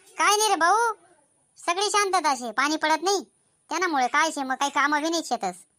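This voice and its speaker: Putting on a character voice, a woman goes squeaky and extremely high in pitch. She keeps a moderate speed, and her intonation is lively. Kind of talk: comic rural cartoon skit. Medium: cartoon. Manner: colloquial, bickering.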